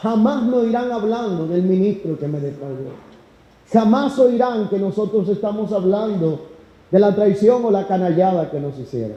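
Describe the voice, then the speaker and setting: A man's high voice with lively intonation at a fairly slow pace, audible room echo and noticeable background noise. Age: 30s. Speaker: pastor. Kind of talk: sermon.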